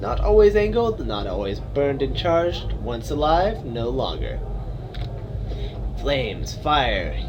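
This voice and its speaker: A man puts on a wheezy, raspy character voice, speaking at a fairly slow pace over loud background noise. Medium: read story. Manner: repetitive, broken phrasing with inverted word order.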